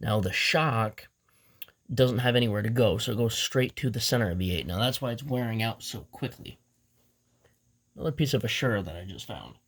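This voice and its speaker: On a very clean recording with a silent background, a man speaks fairly quickly at a medium pitch, somewhat breathy, with ordinary pitch variation, big swings in loudness, and long, frequent pauses. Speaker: beyblade youtuber. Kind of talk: tutorial.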